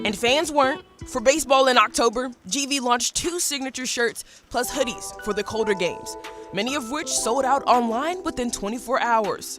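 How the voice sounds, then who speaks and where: A woman's high voice shows ordinary pitch variation, with music playing in the background. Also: moderate pace. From Cleveland, Ohio. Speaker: TV news reporter and host. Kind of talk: TV feature story narration.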